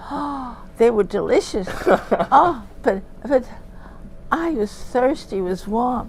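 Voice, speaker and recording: Noticeable background noise sits behind a woman with a high pitch. She talks at a very slow pace with lively intonation. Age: 80s+. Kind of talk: interview answer. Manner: animated, chatty.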